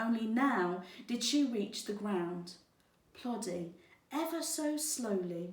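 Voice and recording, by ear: A natural voice reads aloud, its intonation lively.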